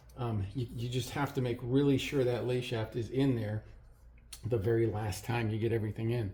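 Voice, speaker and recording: At a moderate pace, a man talks in a dark, mellow, somewhat breathy voice of medium pitch with fairly even intonation. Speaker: motorcycle hobbyist mechanic. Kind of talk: tutorial. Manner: hesitant, many fillers; mumbling at times.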